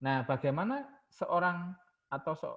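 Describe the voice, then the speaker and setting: A man with a Javanese accent speaks at a moderate pace in a somewhat breathy voice. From Java, Indonesia. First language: Javanese (speaking Indonesian). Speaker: university lecturer. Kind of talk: lecture. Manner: code-switching Indonesian and English.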